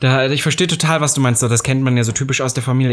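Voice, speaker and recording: A man at a very fast pace. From eastern Germany, Saxony-Anhalt. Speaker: podcast co-host. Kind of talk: casual chat.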